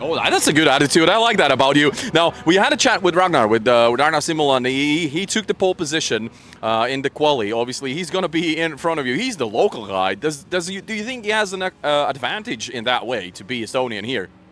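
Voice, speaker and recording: A man with a non-native accent talks very fast at a fairly high pitch, his pitch swinging very widely. Noticeable background noise sits behind him. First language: not English. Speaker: motorsport paddock reporter. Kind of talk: live event coverage chat.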